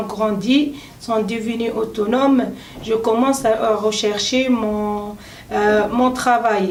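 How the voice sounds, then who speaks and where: Against noticeable background noise and audible room echo, a woman talks at a very slow pace with a fairly high pitch and fairly even intonation. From Tunisia. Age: 30s. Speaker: adult French language trainee. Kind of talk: self-introduction speaking exercise. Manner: halting with many hesitations.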